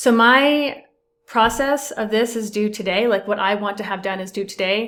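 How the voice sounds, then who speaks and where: This woman has a normal speaking voice at a fairly high pitch. She moves at a moderate pace with ordinary pitch variation. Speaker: accountant. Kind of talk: tutorial.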